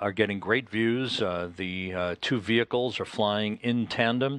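A man with an unremarkable speaking voice, fairly low in pitch, ordinary pitch variation, quiet background. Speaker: NASA mission commentator. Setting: mission control broadcast. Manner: calm, measured, formal, steady.

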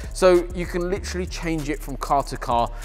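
A man is talking while faint music sits in the background. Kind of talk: product explanation to camera. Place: workshop.

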